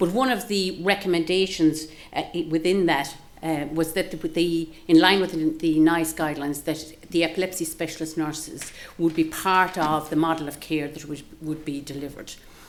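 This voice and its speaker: Fairly low female speech with fairly even intonation. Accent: Galway. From Ireland, Galway. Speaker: professor and nursing researcher. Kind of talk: seminar talk. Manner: fast; halting, many fillers and restarts.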